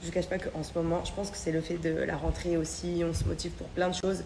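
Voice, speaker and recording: With clear background noise and some audible echo from the room, a woman speaks at a rather brisk pace. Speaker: vlogger. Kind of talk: casual chat. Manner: hesitant.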